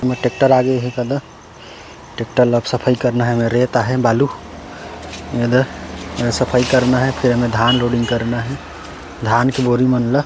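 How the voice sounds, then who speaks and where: A man talks at a medium pitch in a monotone, flat intonation with long, frequent pauses. Noticeable background noise is present. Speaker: village vlogger. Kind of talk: casual vlog talk to camera.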